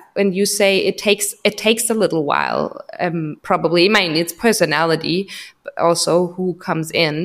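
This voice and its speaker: A woman's medium-pitched voice with a German accent, ordinary pitch variation and a fairly slow pace. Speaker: podcast host, psychologist. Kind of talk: casual interview. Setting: home, remote call.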